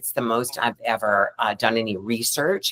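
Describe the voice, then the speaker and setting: A woman speaks at a moderate pace with an American accent. The sound is dry and close, with no echo. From US South. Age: 50s. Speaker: actress. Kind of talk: panel discussion.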